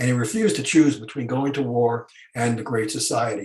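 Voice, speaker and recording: A somewhat breathy voice at a fairly quick pace. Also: man. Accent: American. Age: 70s. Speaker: historian. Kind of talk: panel discussion. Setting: video call. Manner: halting.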